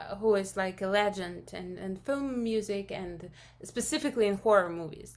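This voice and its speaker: She speaks with a Russian accent. Her voice is a woman's medium pitch. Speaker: film composer. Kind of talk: interview. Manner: halting.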